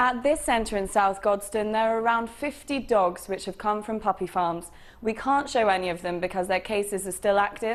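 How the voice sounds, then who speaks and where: Moderate in pace, this is an unremarkable speaking voice. Its pitch varies in an ordinary way. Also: woman, fairly high pitch for a woman. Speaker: TV and radio reporter. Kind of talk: news report to camera.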